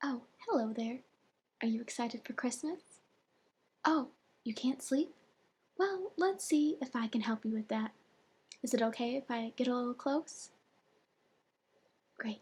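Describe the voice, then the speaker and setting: Soft-spoken delivery in a gentle tone, broken by long, frequent pauses. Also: moderate pace. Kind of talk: ASMR soft-spoken roleplay story time. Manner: soft-spoken, gentle.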